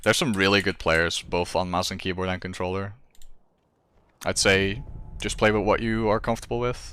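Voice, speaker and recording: Over a very clean recording with a silent background, a man with a fairly low pitch and a bright, sharp tone talks at a fairly quick pace, broken by long, frequent pauses. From Netherlands. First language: Dutch. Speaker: video game streamer. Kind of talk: casual live-stream chat while gaming. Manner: casual, with frequent fillers and restarts.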